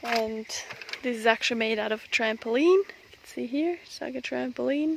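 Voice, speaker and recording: A quiet, fairly high-pitched woman over noticeable background noise. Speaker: homestead vlogger. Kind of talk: casual garden vlog walkthrough. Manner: hushed, quiet.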